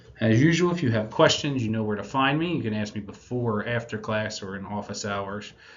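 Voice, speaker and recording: The speech moves at a fairly quick pace with lively intonation, and room echo is audible. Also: man. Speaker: math teacher. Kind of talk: recorded video lesson. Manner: casual.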